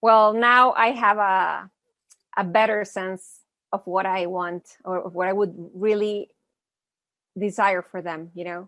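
Long, frequent pauses mark this fairly slow speech, its bright, sharp tone showing big swings in loudness against a quiet background. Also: woman, medium pitch for a woman. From Mexico. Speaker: mentor and author. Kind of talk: podcast interview.

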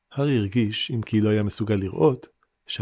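A natural reading voice with ordinary pitch variation is heard over a quiet background.

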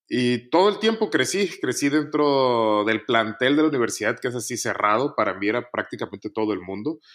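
In a plain, everyday voice, the speaker moves at a fairly quick pace with lively intonation and hardly any pauses, on a very clean recording with a silent background. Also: man, medium pitch for a man. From Mexico, Nuevo León (Montemorelos). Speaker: engineer. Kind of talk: casual interview, personal testimony.

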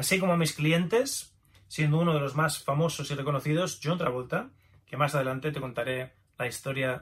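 A man with a plain, everyday voice speaks at a fairly quick pace. His pitch is fairly high, with ordinary pitch variation. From Spain, Navarre (Pamplona). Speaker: author and traditional Chinese medicine practitioner. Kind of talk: audiobook narration.

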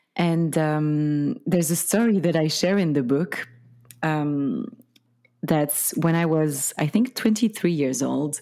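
A woman speaks with a French accent in a very deep, low, dark and mellow voice, her intonation lively at a very slow pace. The recording is very clean, with a silent background. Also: very even loudness. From Belgium. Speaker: spiritual teacher and author. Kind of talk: casual interview chat.

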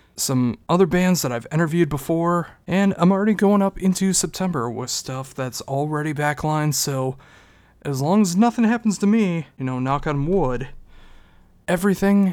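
At a moderate pace, the voice comes through on a very clean recording with a silent background. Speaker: podcast host. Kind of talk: solo podcast monologue. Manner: low-energy, unenthusiastic.

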